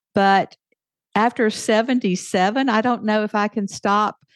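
A woman with a Southern US accent talks at a fairly slow pace, her medium pitch showing ordinary variation. The sound is dry and close with no echo, over a quiet background. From US South. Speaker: author and podcaster. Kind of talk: interview.

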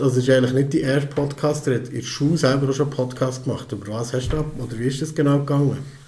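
Someone talks at a very fast pace with a Swiss accent, and audible room echo can be heard. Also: man, hardly any pauses. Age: 40s. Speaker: podcast host and father. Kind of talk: casual chat.

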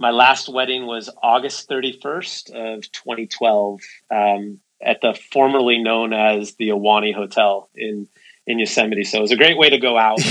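A man talks in a Californian accent at a moderate pace. His pitch is medium and his intonation fairly even. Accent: Californian American. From San Francisco Bay Area, California. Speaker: tech company co-founder and CEO. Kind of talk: interview conversation.

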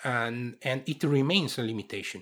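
Pitched at a medium level, the man speaks with ordinary pitch variation. The recording is very clean, with a silent background. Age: 50s. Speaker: sports science researcher. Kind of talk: interview. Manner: halting, with frequent repetitions.

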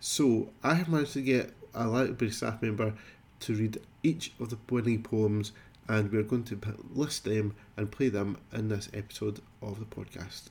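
A man talks in a fairly low, somewhat breathy voice. His pitch varies in an ordinary way at a moderate pace. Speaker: library services host. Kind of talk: podcast introduction.

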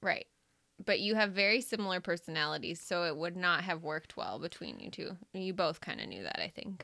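A woman with a fairly low pitch and vocal fry talks at a fairly quick pace in a bright, sharp tone, her loudness swinging widely and her pitch varying in the ordinary way, on a very clean recording with a silent background. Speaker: pastor's wife. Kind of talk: casual chat. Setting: studio. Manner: soft-spoken.

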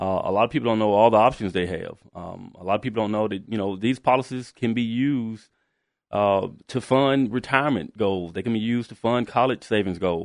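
Against a quiet background, a man with an ordinary speaking voice talks at a fairly quick pace, with medium pitch and ordinary pitch variation. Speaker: financial advisor. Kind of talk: radio interview about insurance. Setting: studio.

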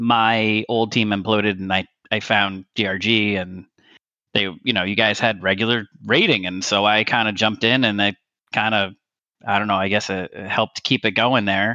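A man's fairly low, bright and sharp voice, monotone and flat, at a moderate pace, dry and close with no echo over a quiet background. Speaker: gaming community member. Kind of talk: casual chat. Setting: online call, unstable internet.

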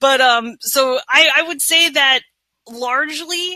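A woman speaks with an American accent. Her intonation is lively. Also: dry, close sound with no echo. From northern California. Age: 40s. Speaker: therapist and social worker. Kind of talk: casual interview.

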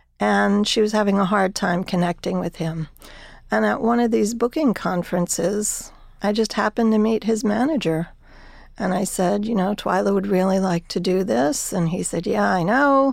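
A woman's normal speaking voice at medium pitch and moderate pace, with an American accent, ordinary pitch variation, very even loudness and a very clean recording with a silent background. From New Jersey. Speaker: arts administrator. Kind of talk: interview.

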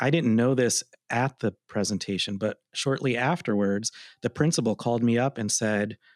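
A man's medium-pitched, fairly evenly intoned voice, a normal speaking voice, in a dry, close sound with no echo and a very clean recording with a silent background. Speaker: arts presenter, podcast co-host. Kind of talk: casual chat. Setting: office.

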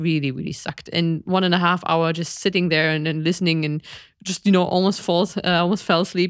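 A woman with an unremarkable speaking voice talks at a fairly quick pace in a fairly low pitch, on a very clean recording with a silent background. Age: 40s. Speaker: podcast co-host, biologist. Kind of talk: casual chat. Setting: live stream.

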